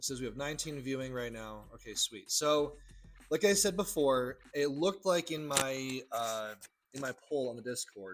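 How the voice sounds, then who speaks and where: A man with an unremarkable speaking voice talks at a moderate pace and medium pitch. His loudness swings widely, while his pitch varies in an ordinary way. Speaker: trading educator, livestream host. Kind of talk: live-stream tutorial. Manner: casual, repetitive.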